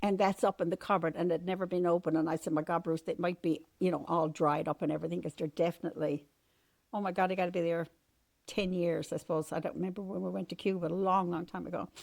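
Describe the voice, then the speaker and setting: A woman talks at a very fast pace with a fairly low pitch and monotone, flat intonation, in a dry, close sound with no echo. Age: 70s. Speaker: mother of the host. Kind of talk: casual chat. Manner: halting.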